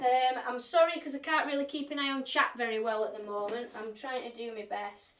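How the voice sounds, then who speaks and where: A high-pitched woman in a Yorkshire accent, at a moderate pace with ordinary pitch variation. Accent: broad Yorkshire. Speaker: woodturner and live-stream demonstrator. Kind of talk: playful recipe demo in exaggerated broad Yorkshire; live-stream demo with casual chat. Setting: live stream.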